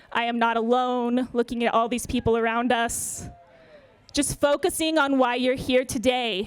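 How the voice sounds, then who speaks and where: A woman speaks loudly at a high pitch. Her intonation stays fairly even. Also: moderate pace. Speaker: yoga therapist. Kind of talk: speech then guided yoga warm-up.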